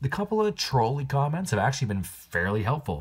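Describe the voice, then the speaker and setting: A man talks at a very fast pace in a somewhat breathy voice. The recording is very clean, with a silent background. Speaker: knife channel creator. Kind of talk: casual vlog update. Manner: rambling with filler words.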